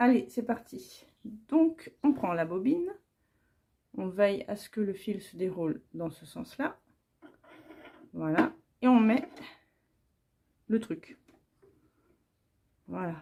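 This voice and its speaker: A woman speaks at a very slow pace, fairly high in pitch, in a dark, mellow tone with vocal fry. Her pitch swings very widely, her loudness shifts greatly, and long, frequent pauses recur. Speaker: home sewer. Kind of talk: sewing tutorial. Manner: casual, informal.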